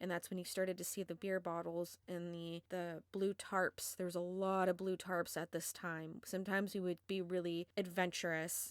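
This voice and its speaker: A woman talks at a moderate pace in a fairly low pitch, her intonation monotone and flat. The recording is very clean, with a silent background. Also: hardly any pauses. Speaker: bigfoot encounter witness. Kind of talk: casual talk to camera, personal encounter story. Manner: stutters a lot.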